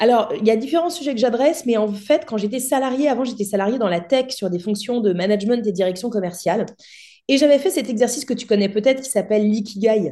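A woman's fairly high voice, dark and mellow in tone, with ordinary pitch variation. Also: fairly quick pace. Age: 30s. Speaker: entrepreneur and public speaker. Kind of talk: casual interview.

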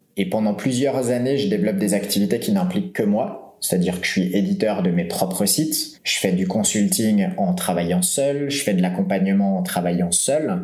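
A man with a fairly low voice makes very wide pitch swings at a moderate pace, with hardly any pauses. His loudness stays very even against noticeable background noise. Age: 30s. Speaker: entrepreneur, website publisher. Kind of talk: interview.

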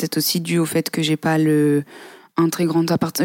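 A woman talks at a fairly quick pace with a fairly low pitch. The recording is very clean, with a silent background. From southern France, near Aix-en-Provence. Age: 20s. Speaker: podcast guest. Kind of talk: interview.

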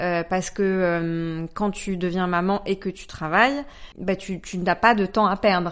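Medium pitch from a woman at a fairly slow pace, fairly even intonation, quiet background. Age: 30s. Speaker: agency director and author. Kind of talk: interview. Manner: hesitant fillers.

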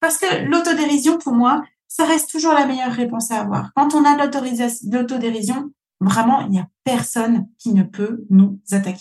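A woman with a high pitch talks at a fairly slow pace using lively intonation. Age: 40s. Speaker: podcast host, business coach. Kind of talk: solo podcast monologue.

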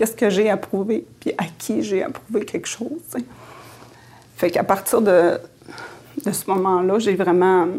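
A woman at a medium pitch speaks at a fairly slow pace with lively intonation and long, frequent pauses. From Quebec, Innu community at Lac-Saint-Jean. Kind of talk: interview, personal life story. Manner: hesitant, many fillers and repetitions.

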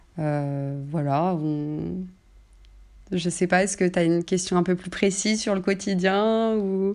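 Speaking at a very slow pace is a woman. The recording is very clean, with a silent background. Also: medium pitch for a woman, ordinary pitch variation. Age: 20s. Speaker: childcare assistant on parental leave. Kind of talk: interview about her personal story. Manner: hesitant, many fillers.

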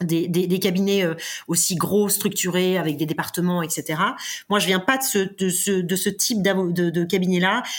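A woman at medium pitch speaks at a fairly slow pace. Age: 40s. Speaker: corporate legal director, former lawyer. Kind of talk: interview. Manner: halting, repeats words.

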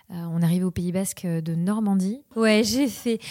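Speaking at a fairly slow pace, a woman uses a dark, mellow tone with ordinary pitch variation. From Mayotte (French overseas islands). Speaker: tech community manager. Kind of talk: interview. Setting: coworking space. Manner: halting.

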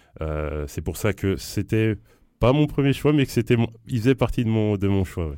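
A man speaks in a fairly low voice with a dark, mellow tone and very wide pitch swings. The recording is very clean, with a silent background. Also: moderate pace. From Rennes, Brittany, France. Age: 30s. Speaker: hip-hop festival director. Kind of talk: casual interview. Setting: studio.

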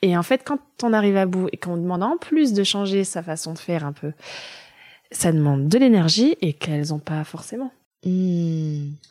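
A woman speaks in a plain, everyday voice at a fairly low pitch and moderate pace, with lively intonation. The sound is dry and close, with no echo. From Germany, moved to France at 9. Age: 30s. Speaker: early childhood educator and childminder. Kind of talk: casual interview conversation.

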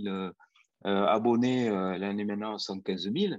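Very slowly, a man talks with a fairly low pitch. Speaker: anesthesiologist and near-death researcher. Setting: live video stream.

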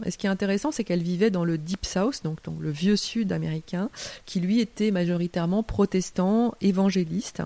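The voice has a dark, mellow tone, ordinary pitch variation and a moderate pace. The recording is very clean, with a silent background. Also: woman, medium pitch for a woman. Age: 50s. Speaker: writer. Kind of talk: interview. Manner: hesitant with fillers.

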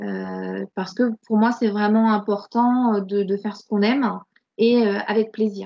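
Speaking at a fairly slow pace, a woman with a medium pitch keeps a monotone, flat intonation amid big swings in loudness. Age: 40s. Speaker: burnout survivor and coach. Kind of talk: testimony. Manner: halting, many repetitions and fillers.

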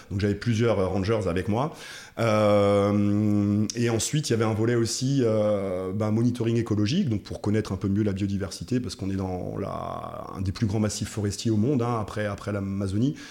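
At a moderate pace, a man talks in a fairly low voice with fairly even intonation. Noticeable background noise is present. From France, Alsace (Munster valley). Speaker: coffee roaster, former athlete and NGO director. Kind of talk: casual interview. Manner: halting, repeats words.

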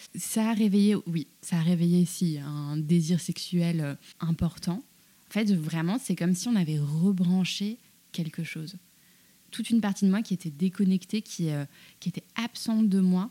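A woman speaks at a fairly slow pace with a fairly low pitch and ordinary pitch variation. Her tone is dark and mellow and somewhat breathy. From France, Paris, North African heritage. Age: 30s. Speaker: journalist and cookbook author. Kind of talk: casual interview conversation. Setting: small room behind a juice workshop.

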